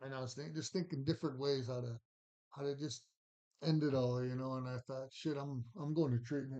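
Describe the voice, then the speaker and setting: Speaking at a fairly quick pace, a man with an American accent has a medium-pitched, dark and mellow voice and fairly even intonation. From Montana. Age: 50s. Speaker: recovering addict, former boxer. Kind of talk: testimony. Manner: halting.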